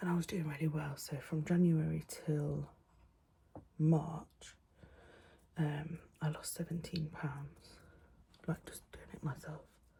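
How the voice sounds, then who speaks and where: Soft-spoken and very slow, a woman talks in a very deep, low pitch with a dark, mellow tone, vocal fry and a monotone, flat intonation. Long, frequent pauses break up her speech, and her loudness swings widely. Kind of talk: casual talk to camera. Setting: home, window open, quiet room. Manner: soft-spoken, rambling.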